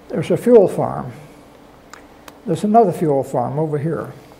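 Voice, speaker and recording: There is noticeable background noise as a man with a fairly high pitch talks at a moderate pace with ordinary pitch variation. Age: 80s+. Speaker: war veteran. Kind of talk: lecture presentation.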